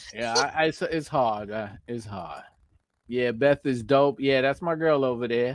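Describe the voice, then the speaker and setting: Speaking with a New York accent, a man uses a medium pitch and an animated tone at a fairly slow pace. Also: ordinary pitch variation. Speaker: YouTuber, motorcycle channel host. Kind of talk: live stream chat. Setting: live stream. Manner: casual, animated.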